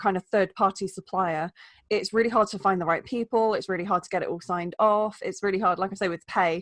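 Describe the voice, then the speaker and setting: A woman with an English accent talks at a fairly quick pace over a quiet background. The sound is dry and close, with no echo. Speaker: wellbeing coach. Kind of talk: podcast interview. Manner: fast; animated.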